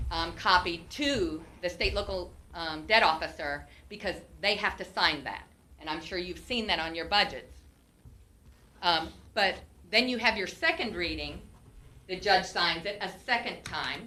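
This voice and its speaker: A woman speaks at medium pitch and a fairly slow pace, with ordinary pitch variation and long, frequent pauses. There is audible room echo. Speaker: former county treasurer. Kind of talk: testimony under questioning at public meeting. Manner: loud.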